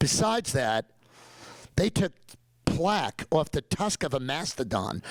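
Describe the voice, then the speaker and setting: An animated man's voice in a New York accent. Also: dry, close sound with no echo. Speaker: dentist and professor. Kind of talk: lecture.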